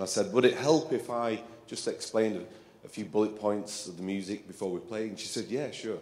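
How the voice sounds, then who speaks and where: Speaking with an English accent, a man holds a medium pitch at a moderate pace. Audible room echo is present. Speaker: composer and percussionist. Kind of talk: talk to concert audience. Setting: stage with audience. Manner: halting, with many fillers.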